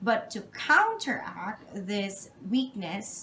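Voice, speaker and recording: The woman's voice sits at a fairly high pitch. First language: not English. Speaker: job interview candidate. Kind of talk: job interview answers. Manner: halting; formal.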